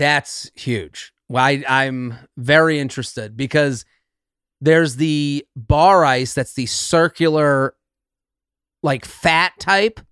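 A man with an American accent talks very slowly at a fairly high pitch with ordinary pitch variation, on a very clean, dry, close recording with no echo and a silent background. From New England, US. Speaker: comedian. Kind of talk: casual chat.

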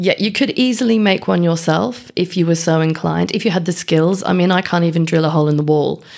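A woman talks at a very fast pace with a fairly low pitch. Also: ordinary pitch variation, very even loudness. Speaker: beekeeping podcast co-host. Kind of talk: casual chat. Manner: projects voice, good levels.

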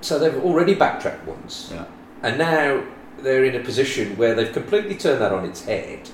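A man with a West Midlands accent speaks at a moderate pace in a fairly high pitch, his pitch swinging very widely and his loudness rising and falling sharply over noticeable background noise. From West Midlands, England. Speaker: property owner guest. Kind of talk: casual interview chat.

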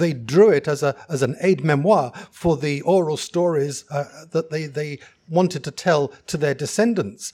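In an English accent, the voice moves at a moderate pace with a dark, mellow tone and ordinary pitch variation, recorded very cleanly against a silent background. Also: man, fairly high pitch for a man. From England. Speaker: geoscientist. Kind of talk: live festival panel discussion. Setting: stage with live audience.

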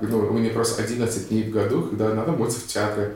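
Someone with an American accent is heard with audible room echo and noticeable background noise. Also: man. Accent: American accent in Russian. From USA. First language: English (speaking Russian). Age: 30s. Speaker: actor and blogger. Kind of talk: casual interview.

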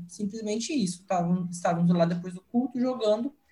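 A man's moderately paced speech, with ordinary variation in pitch, plays out against background music. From Brazil, interior of São Paulo (Araçatuba). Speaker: young missionary volunteer. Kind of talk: casual chat, sharing experiences.

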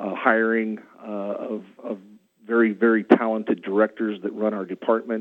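A man with a West Coast accent talks at a moderate pace and a fairly low pitch. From central Oregon, US. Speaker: county commissioner. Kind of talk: candidate interview.

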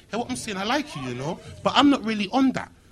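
Very wide pitch swings run through the speech, with noticeable background noise behind it. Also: man. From Birmingham, England. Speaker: internet comedian. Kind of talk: live panel chat. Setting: stage with audience. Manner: animated.

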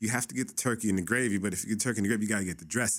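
A man with a Californian accent speaks at a fairly low pitch on a very clean recording with a silent background. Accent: Californian American English. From Los Angeles, San Fernando Valley (Pacoima). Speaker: content creator. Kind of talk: casual chat. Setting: studio.

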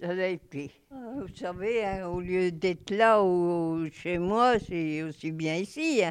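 Very slowly, a woman talks, with little sound around her. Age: old. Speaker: nursing home resident. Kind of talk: interview testimony.

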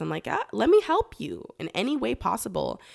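With a Californian accent, a woman speaks at a fairly quick pace on a very clean recording with a silent background. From Los Angeles, San Fernando Valley. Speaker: beekeeper and cannabis consultant. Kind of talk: casual interview.

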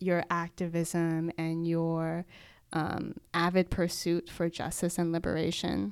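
A woman with an American accent, fairly low in pitch, at a very slow pace on a very clean recording with a silent background. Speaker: podcast co-host, physician. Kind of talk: casual chat.

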